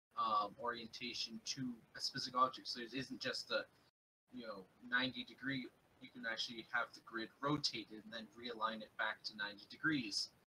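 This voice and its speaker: The speech moves at a fairly quick pace, with big swings in loudness. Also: man. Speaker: level designer. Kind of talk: casual live stream chat.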